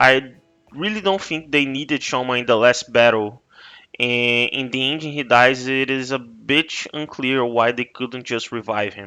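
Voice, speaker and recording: A fairly slow delivery in a Portuguese accent, with ordinary pitch variation. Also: man, medium pitch for a man. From Brazil. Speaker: YouTuber. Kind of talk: game review commentary. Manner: halting.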